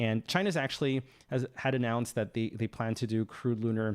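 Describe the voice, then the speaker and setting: A man speaks in a French accent at a medium pitch and a fairly quick pace. His intonation stays fairly even on a very clean recording with a silent background. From France. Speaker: space news YouTuber. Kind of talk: livestream commentary and Q&A. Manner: hesitant, many fillers.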